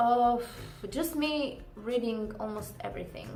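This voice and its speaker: A woman with a Croatian accent at a fairly slow pace, with audible room echo. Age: 20s. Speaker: book vlogger. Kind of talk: casual vlog. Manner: halting, many fillers.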